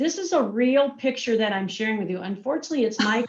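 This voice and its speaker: A woman talks in an energetic tone with lively intonation. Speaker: marketing and communications executive. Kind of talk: virtual presentation.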